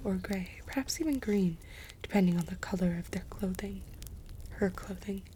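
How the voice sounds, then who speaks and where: Soft-spoken whispering. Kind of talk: audiobook reading. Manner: whispered, soft-spoken.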